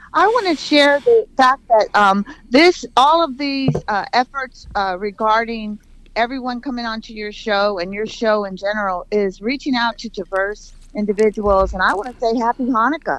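At a moderate pace, this is an unremarkable speaking voice with ordinary pitch variation. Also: woman, fairly high pitch for a woman. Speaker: caller. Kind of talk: radio call-in. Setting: phone call.

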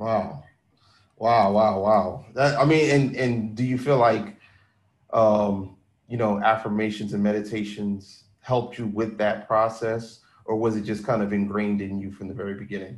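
A man speaks at a moderate pace in an unremarkable speaking voice, pitched fairly low. His intonation stays fairly even. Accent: American. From Philadelphia. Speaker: podcast host. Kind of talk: interview.

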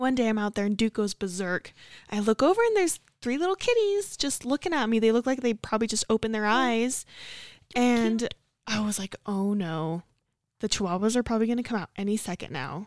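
A woman with a plain, everyday voice talks at a fairly quick pace, her pitch fairly high and her intonation lively. The sound is dry and close with no echo, in a very clean recording with a silent background. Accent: American. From Utah, Davis County. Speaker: podcast co-host, RV park hospitality supervisor. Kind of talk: casual chat.

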